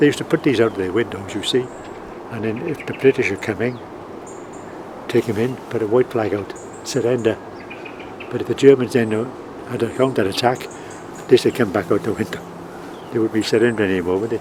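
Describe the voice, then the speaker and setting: Over noticeable background noise, a man talks at a very fast pace in a medium pitch with ordinary pitch variation, leaving long, frequent pauses. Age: 80s+. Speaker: war veteran. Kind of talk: interview answer.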